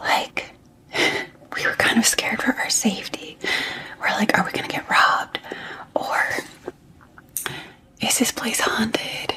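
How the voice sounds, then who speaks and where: Whispering in a soothing tone, a woman speaks at a fairly slow pace with long, frequent pauses over noticeable background noise. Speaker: ASMR creator and mother. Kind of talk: ASMR get ready with me, casual talk to camera. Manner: soft, soothing, whispered.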